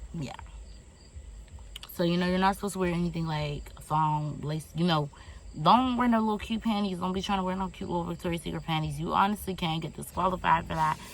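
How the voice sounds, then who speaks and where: The speaker has an American accent and a somewhat breathy voice. Delivery comes at a very fast pace with ordinary pitch variation. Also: woman, fairly low pitch for a woman. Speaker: vlogger, Air Force enlistee. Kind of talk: casual vlog storytelling.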